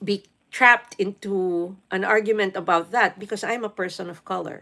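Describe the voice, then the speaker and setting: Her tone bright and sharp, a woman at medium pitch talks at a moderate pace with fairly even intonation and big swings in loudness. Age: 50s. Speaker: live streamer. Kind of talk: casual live stream chat.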